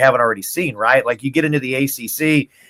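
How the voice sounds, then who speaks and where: A man with a normal speaking voice delivers his words fairly quickly, his pitch varying in an ordinary way. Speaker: radio play-by-play announcer. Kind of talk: interview answer.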